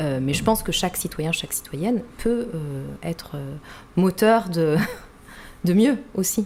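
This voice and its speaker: Amid noticeable background noise, a woman with a fairly low pitch speaks at a very slow pace with lively intonation and long, frequent pauses. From Rwanda. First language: Kinyarwanda (speaking French). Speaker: writer. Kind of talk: interview. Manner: halting, many repetitions and fillers.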